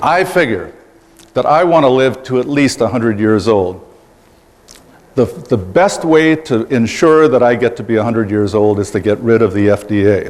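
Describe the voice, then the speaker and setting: Over noticeable background noise, a man at a medium pitch speaks at a moderate pace with lively intonation. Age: 60s. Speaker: political candidate. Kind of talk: campaign speech.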